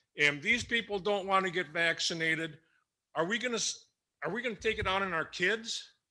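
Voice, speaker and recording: On a very clean recording with a silent background, a man with a high-pitched, bright, sharp voice speaks in a raised, projected way at a fairly quick pace with ordinary pitch variation. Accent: American. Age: 60s. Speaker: school board member. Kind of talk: public meeting remarks. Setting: public meeting with audience. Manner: stammering.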